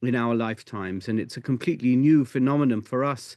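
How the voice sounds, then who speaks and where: Against a quiet background, a man with a British accent speaks at a fairly quick pace. His pitch is medium and his intonation fairly even. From UK. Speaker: rabbi. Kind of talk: interview.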